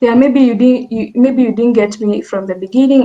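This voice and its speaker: A woman speaks with a dark, mellow tone. Her intonation is fairly even. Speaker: machine learning engineer, workshop speaker. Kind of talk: technical workshop presentation.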